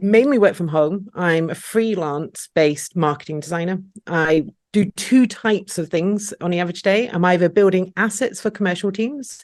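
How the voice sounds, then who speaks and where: Here a woman speaks with a Scottish accent. Her pitch is medium and her pace moderate. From Scotland. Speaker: freelance marketing designer. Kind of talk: podcast interview. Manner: relaxed.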